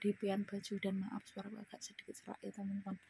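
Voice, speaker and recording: Somewhat breathy, a woman speaks at a very fast pace. Her pitch is medium. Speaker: migrant domestic worker vlogger. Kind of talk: personal testimony vlog. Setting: indoors, in her room. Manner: casual, conversational.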